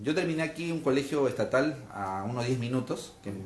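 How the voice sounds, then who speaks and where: A somewhat breathy man speaks with audible room echo. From Peru, Lima. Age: 30s. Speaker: political candidate. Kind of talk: interview. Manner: hesitant fillers.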